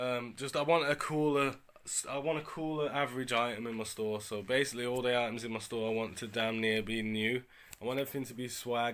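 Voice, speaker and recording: A man with a medium pitch and fairly even intonation talks at a very fast pace. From UK. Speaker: eBay reseller vlogger. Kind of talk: casual vlog. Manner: casual, slang-heavy.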